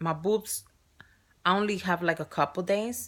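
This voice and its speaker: The speaker has a strong Spanish accent. The recording is very clean, with a silent background. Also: woman. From Spain or Spanish-speaking country. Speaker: surrogate mother vlogger. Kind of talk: casual vlog. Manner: halting.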